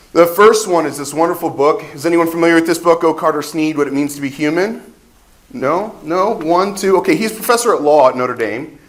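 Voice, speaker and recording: A man speaks loudly at a high pitch with an American accent. His pitch varies in an ordinary way, and there is noticeable background noise. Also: fairly quick pace. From Ohio, US Midwest. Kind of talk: conference talk.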